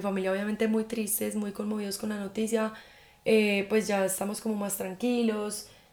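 A woman with a fairly high pitch speaks in a flat monotone at a moderate pace over noticeable background noise. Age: 20s. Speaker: podcast host. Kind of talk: casual monologue. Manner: informal.

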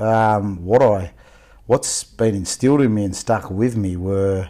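A man with an Australian accent at a fairly slow pace. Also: very clean recording, silent background. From Victoria, Australia (Melbourne outskirts). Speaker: youth worker. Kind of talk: casual interview. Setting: podcast interview.

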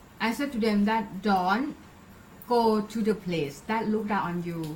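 Speaking in a Thai accent, a woman talks at a fairly slow pace. Her pitch is fairly high. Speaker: podcast host. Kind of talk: casual interview.

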